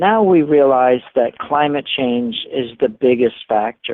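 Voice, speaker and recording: A man speaks at a fairly slow pace. He has a plain, everyday voice. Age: 60s. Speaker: marine scientist. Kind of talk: interview.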